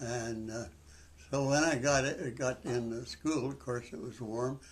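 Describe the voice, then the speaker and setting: A man with a western Canadian accent talks at a very slow pace with fairly even intonation. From Canadian prairies. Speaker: senior sharing life story. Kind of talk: interview. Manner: halting.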